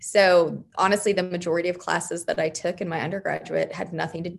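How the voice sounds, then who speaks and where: A woman with an American accent, medium pitch, vocal fry and a fairly quick pace. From Arizona, west of Phoenix. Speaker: priest. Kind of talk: interview. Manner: energetic.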